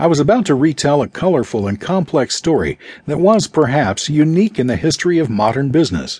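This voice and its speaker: Somewhat breathy, a man with a fairly high pitch speaks at a fairly quick pace, his pitch swinging very widely. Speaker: audiobook narrator. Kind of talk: audiobook narration, reading a memoir aloud. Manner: measured, storytelling pace; shifts to a gruff, confrontational tone for quoted dialogue.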